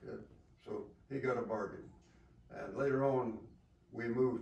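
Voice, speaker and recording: Audible room echo surrounds a man with an American accent. His medium pitch holds a monotone, flat intonation. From US South. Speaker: war veteran. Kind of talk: interview. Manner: halting.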